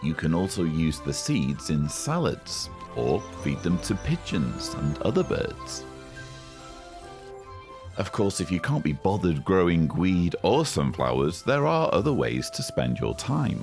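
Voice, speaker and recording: Over music in the background, a man with a very deep, low pitch speaks with very wide pitch swings and very even loudness. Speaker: activist. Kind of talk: comedic parody nature-documentary narration.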